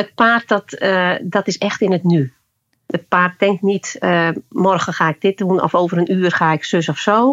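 With a plain, everyday voice, a woman speaks at a fairly slow pace and medium pitch, with ordinary pitch variation and very even loudness, in a dry, close sound with no echo over a quiet background. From Friesland, Netherlands. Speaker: leadership coach using horses. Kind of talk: interview. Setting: remote recording.

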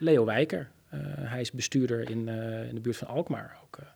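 At a medium pitch and moderate pace, a man speaks in a slightly mellow tone with a husky, rough edge, vocal fry, and ordinary pitch variation.

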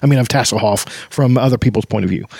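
A man with a normal speaking voice talks at a medium pitch with ordinary pitch variation, in a dry, close sound with no echo. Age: 40s. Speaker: book podcast host. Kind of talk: casual book discussion with read-aloud passages.

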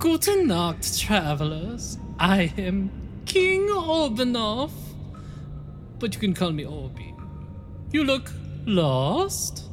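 A put-on character voice drags along at a very slow pace, broken by long, frequent pauses, with loud music playing in the background.

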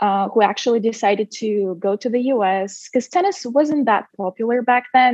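With a Russian accent, a woman speaks at a moderate pace in a fairly high pitch with ordinary pitch variation. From Russia, Siberia. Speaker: former college tennis player, marketing head. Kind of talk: interview.

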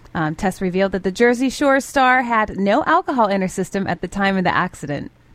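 A woman's fairly quick, lively-intoned delivery at a medium pitch, a plain, everyday voice. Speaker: radio co-host. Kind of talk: morning radio show banter. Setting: studio.

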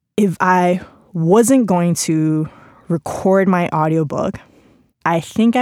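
This woman speaks with a Spanish accent. Her pitch is fairly low, with ordinary variation. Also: dry, close sound with no echo. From Spain. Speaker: journalist and author. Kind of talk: reading aloud from own book; casual reflective talk. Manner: conversational with fillers.

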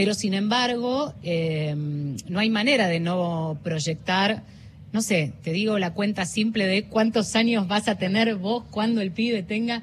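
A woman talks at a very slow pace in a medium pitch, her voice somewhat breathy and her pitch varying in an ordinary way. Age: 40s. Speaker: journalist and news presenter. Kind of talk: interview. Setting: radio booth at a book fair.

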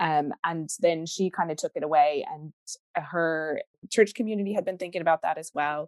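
A woman speaks in an unremarkable speaking voice, fairly low-pitched with ordinary pitch variation, at a moderate pace, in a dry, close sound with no echo. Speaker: webinar host. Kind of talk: casual chat. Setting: video call.

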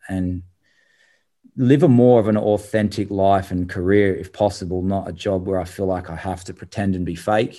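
A man with an Australian accent talks at a moderate pace. His tone is dark and mellow, his pitch fairly low. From Adelaide, South Australia. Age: 30s. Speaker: former tennis player and tennis coach. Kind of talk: interview. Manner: halting.

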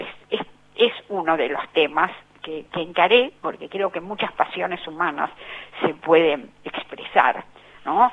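Against noticeable background noise, a woman with a fairly low pitch talks at a fairly slow pace with lively intonation. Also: big swings in loudness. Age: 70s. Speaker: writer. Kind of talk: interview.

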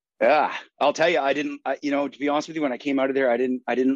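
This man has an Atlantic Canadian accent. He talks at a very fast pace. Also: dry, close sound with no echo. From Saint John, New Brunswick, Canada. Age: 30s. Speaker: army veteran. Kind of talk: interview.

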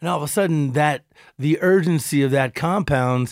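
A man with a fairly high pitch speaks at a moderate pace with ordinary pitch variation, recorded very cleanly against a silent background. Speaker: radio DJ and car show host. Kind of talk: casual podcast chat.

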